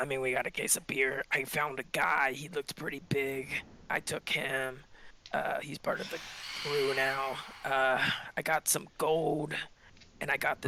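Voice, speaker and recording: Doing a put-on character voice, a man talks raspy and fairly high-pitched in a monotone, flat delivery at a moderate pace, with long, frequent pauses. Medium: actual play. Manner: deferential to boss.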